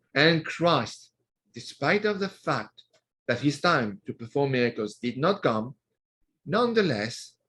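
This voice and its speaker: A man with a French accent, his pitch swinging very widely. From France, Normandy. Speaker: author. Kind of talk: interview.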